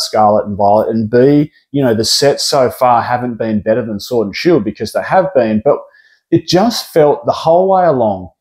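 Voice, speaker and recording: With an Australian accent, a man speaks at medium pitch with lively intonation. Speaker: pokemon card investing youtuber. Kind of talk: casual vlog commentary. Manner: casual, filler-heavy.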